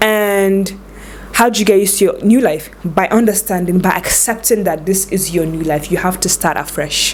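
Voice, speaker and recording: A woman at a medium pitch and a moderate pace, over noticeable background noise. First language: not English. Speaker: lifestyle vlogger. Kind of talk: advice vlog. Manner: casual, conversational.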